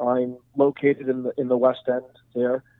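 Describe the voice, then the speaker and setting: A man of medium pitch talks with a Montreal accent. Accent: Montreal anglophone Canadian English. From Montreal, Quebec. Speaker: real estate investor. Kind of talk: interview. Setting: phone call. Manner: halting.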